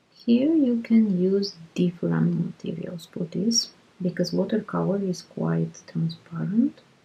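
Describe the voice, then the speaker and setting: A fairly slow pace from a woman, noticeable background noise behind her. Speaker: art tutorial creator. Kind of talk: tutorial.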